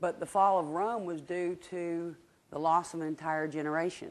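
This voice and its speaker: This woman has a Southern US accent and a fairly low pitch. Her pitch varies in an ordinary way. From Georgia, US South. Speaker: market research director, guest speaker. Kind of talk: lecture. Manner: conversational, interactive.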